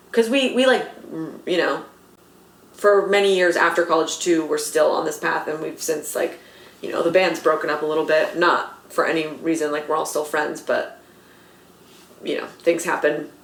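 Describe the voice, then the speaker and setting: A woman with an American accent, fairly low in pitch and animated in tone, at a moderate pace with ordinary pitch variation, amid noticeable background noise and audible room echo. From Los Angeles, US West Coast. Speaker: comedy writer and actor. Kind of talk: casual interview chat. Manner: animated, lots of fillers.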